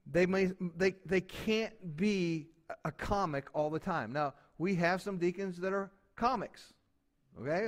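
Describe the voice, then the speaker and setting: The recording is very clean with a silent background. Pitch variation is ordinary. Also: man. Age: 60s. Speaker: pastor. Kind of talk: sermon. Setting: church.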